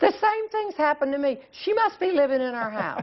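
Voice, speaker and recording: Noticeable background noise accompanies a woman with a Southern US accent. She speaks at a fairly quick pace. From US South, North Carolina. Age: 60s. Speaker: humorist. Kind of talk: TV interview.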